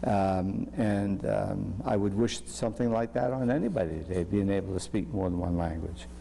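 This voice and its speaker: With a very deep, low pitch, a man swings his pitch very widely while his loudness stays very even. He keeps a moderate pace amid audible room echo. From Salem, Massachusetts. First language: French. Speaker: physician. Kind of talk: interview. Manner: halting.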